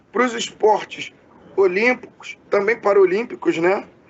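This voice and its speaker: A man talks with a high pitch and lively intonation. Noticeable background noise runs underneath. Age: 30s. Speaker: podcast interviewer. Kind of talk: interview. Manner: halting, many fillers.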